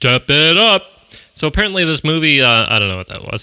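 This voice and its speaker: Very wide pitch swings at a fairly quick pace, dry and close with no echo, against noticeable background noise. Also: man. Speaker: movie podcast host. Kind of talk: casual podcast review. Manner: animated.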